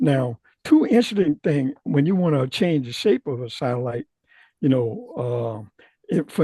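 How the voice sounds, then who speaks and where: The voice is somewhat breathy with a dark, mellow tone and lively intonation, moving at a moderate pace in a dry, close sound with no echo. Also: man. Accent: American. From US South. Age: 80s+. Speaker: retired aerospace scientist. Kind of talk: technical presentation. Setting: video call. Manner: halting.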